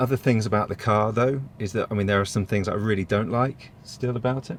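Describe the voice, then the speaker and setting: Fairly low in pitch, a man speaks with an English accent at a fairly quick pace. His intonation stays fairly even. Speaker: EV reviewer. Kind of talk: casual chat.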